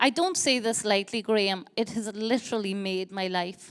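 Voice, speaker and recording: A woman speaks in a Donegal accent with ordinary pitch variation. The recording is very clean, with a silent background. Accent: Donegal Irish. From Ireland, County Donegal. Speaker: theatre director. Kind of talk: on-stage interview. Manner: halting.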